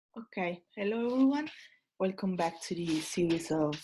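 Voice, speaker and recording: A woman with an Italian accent speaks at a moderate pace. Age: 20s. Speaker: tutor. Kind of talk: lecture. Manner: halting.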